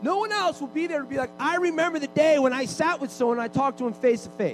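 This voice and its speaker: A man talks at a fairly quick pace in an animated tone with lively intonation. Noticeable background noise sits behind him. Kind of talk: sermon, preacher in full flow leading a charged prayer.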